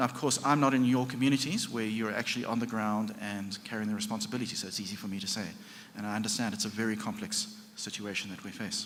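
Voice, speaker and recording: Audible room echo surrounds a man talking at a very fast pace, his medium pitch held in fairly even intonation. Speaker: session moderator, climate scientist. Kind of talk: conference panel moderation. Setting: conference session with audience.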